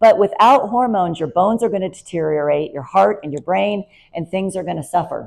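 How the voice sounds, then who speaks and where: This is an ordinary speaking voice with lively intonation. The pace is moderate. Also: woman. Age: 50s. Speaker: nurse practitioner. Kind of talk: presentation talk. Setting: talk with slides.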